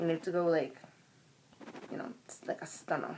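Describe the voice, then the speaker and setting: A woman speaks with a Jamaican accent. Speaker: vlogger. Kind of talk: casual vlog monologue. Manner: conversational, hesitant with fillers.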